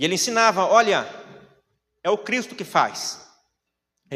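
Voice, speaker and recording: A man's high-pitched voice is raised and projected, bright and sharp in tone, animated, and delivered at a fairly slow pace. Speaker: preacher. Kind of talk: sermon.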